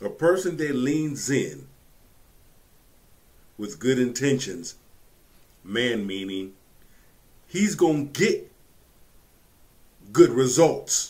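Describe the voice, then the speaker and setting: Loudness swings widely and pitch swings very widely in this very slow delivery full of long, frequent pauses. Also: man. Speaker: reaction commentator. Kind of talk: commentary. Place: home room.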